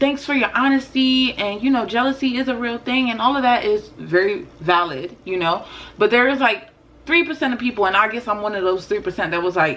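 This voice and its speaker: A woman with a high pitch talks at a fairly quick pace. Her tone is animated and her intonation lively. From West African heritage, first generation. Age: 20s. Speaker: spiritual and lifestyle YouTuber. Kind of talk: casual commentary vlog.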